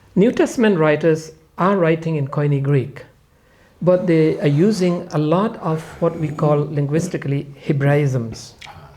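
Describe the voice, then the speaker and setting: Pausing long and often, a man with a non-native accent talks in a dark, mellow tone at a fairly high pitch, with ordinary pitch variation. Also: moderate pace. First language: not English. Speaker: Bible scholar. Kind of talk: podcast panel discussion.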